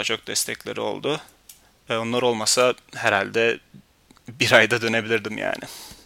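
A man's flat, monotone delivery with vocal fry and long, frequent pauses, in a dry, close recording without echo. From Turkey. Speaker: podcast host. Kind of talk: personal storytelling monologue.

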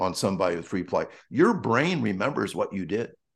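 A man speaks in an American accent with very wide pitch swings. The background is quiet. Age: 60s. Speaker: track coach. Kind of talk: interview. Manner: halting.

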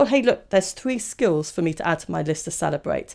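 Vocal fry at a very fast pace, on a very clean recording with a silent background. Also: woman. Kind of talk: podcast monologue, informative talk.

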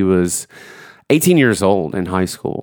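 In a very clean recording with a silent background, a man speaks with a Southern US accent. His voice is fairly low, and his pace is moderate. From Georgia. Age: 30s. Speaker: church youth minister and podcast host. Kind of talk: solo podcast intro; casual chat.

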